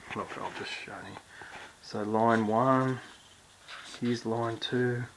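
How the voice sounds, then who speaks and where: With noticeable noise in the background, a man talks in a medium pitch. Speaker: songwriting teacher. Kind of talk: tutorial. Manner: quiet, hushed; casual, with fillers and restarts.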